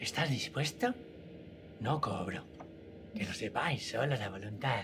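Someone uses a put-on character voice at a fairly slow pace over clear background noise. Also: man, medium pitch for a man. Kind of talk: comic character voice. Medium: actual play. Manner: cheerful, welcoming, chatty.

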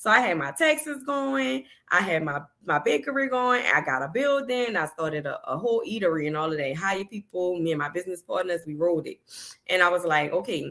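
A bright, sharp tone at a fairly quick pace, with very wide pitch swings. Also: woman, fairly low pitch for a woman. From New Orleans, Louisiana. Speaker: accountant and business finance coach. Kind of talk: casual interview.

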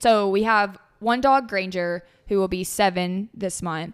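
Captured in a very clean recording with a silent background, the voice carries a Southern US accent and fairly even intonation. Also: woman. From Tennessee. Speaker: podcast host. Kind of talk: casual chat.

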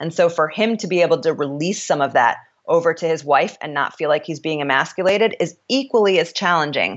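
A woman talks at a fairly quick pace with hardly any pauses. Her pitch is fairly low, with ordinary variation. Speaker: author and company CEO. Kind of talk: interview.

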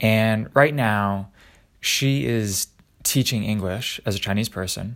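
This man's voice is fairly low and his delivery fairly slow. The recording is very clean, with a silent background. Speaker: daily vlogger posing a question. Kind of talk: casual solo monologue. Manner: hesitant, with fillers and repetitions.

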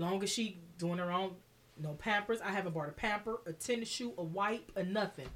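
A woman with a medium-pitched voice talks fairly quickly, her pitch varying in an ordinary way. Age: 30s. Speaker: podcast guest. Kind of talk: casual chat. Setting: studio.

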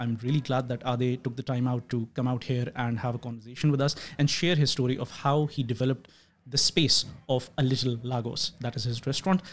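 Somewhat breathy and fairly quick, a man talks at a medium pitch with fairly even intonation. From Pakistan; Karachi, Pakistan. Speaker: podcast host. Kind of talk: casual interview conversation.

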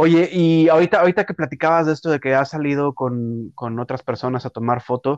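Against a quiet background, a man with a fairly high pitch speaks very fast with ordinary pitch variation, the sound dry and close with no echo. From Mexico City. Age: 30s. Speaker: podcast host. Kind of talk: interview conversation.

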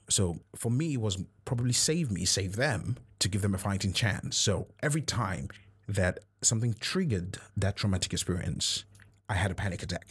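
A man with a fairly low, somewhat breathy voice speaks at a moderate pace with lively intonation and very even loudness, in a very clean recording with a silent background. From Nigeria. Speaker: podcast host. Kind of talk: personal monologue.

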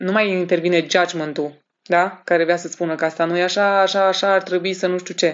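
With hardly any pauses, a woman of fairly low pitch talks at a fairly quick pace in monotone, flat intonation. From Romania, Alba Iulia; teens in Madrid. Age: 30s. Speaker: human design practitioner and entrepreneur. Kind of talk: casual interview.

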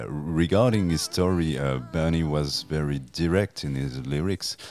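Speaking very slowly with a French accent and ordinary pitch variation, a man is heard over noticeable background noise. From France. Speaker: music journalist and author. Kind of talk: interview. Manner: halting, hesitant, many fillers.

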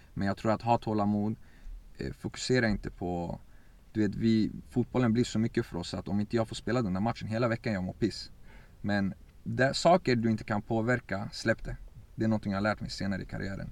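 The pace of this man's speech is fairly quick. He keeps his intonation fairly even. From Sweden, Örebro. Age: 20s. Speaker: footballer. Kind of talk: interview.

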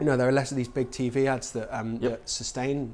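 A plain, everyday voice from a man, medium in pitch, at a fairly quick pace. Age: 30s. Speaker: music company founder working in sync and composition. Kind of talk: casual interview chat. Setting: office.

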